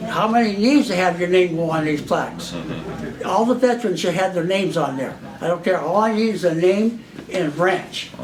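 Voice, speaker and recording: Speaking at a fairly quick pace, a man with an American accent has a high pitch and ordinary pitch variation. Audible room echo and noticeable background noise are present. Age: 80s+. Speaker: war veteran. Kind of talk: casual talk. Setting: luncheon with audience. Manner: rambling, halting.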